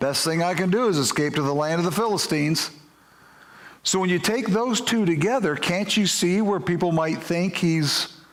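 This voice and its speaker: With audible room echo around him, a man speaks at a moderate pace in a high pitch, keeping very even loudness and ordinary pitch variation. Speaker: pastor. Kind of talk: sermon.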